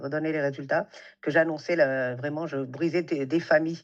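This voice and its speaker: Against a quiet background, a woman with a very deep, low voice talks at a moderate pace in a flat monotone. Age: 60s. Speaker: beautician and salon entrepreneur. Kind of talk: interview conversation. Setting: podcast recording. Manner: hesitant, many fillers.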